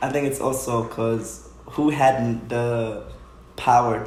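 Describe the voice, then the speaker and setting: Against noticeable background noise and audible room echo, a man talks at a very slow pace. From Haiti, raised in Stamford, Connecticut. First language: Haitian Creole or French. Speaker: dancer. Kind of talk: casual interview.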